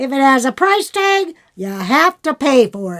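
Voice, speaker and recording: In a put-on character voice, a woman speaks at a fairly slow pace with a high pitch, very wide pitch swings and big swings in loudness, in a dry, close sound with no echo. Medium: read story. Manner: blunt, insistent.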